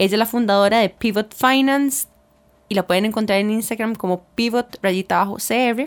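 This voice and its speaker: At a moderate pace, a woman in a normal speaking voice talks with a fairly high pitch and very even loudness. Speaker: podcast co-host. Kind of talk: casual chat. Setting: radio broadcast.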